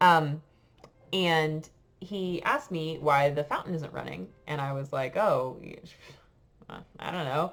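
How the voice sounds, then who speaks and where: In an American accent, a woman with a very deep, low pitch and ordinary pitch variation speaks at a fairly slow pace, with long, frequent pauses and big swings in loudness. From United States. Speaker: French teacher. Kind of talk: casual storytelling to class. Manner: hesitant, many fillers.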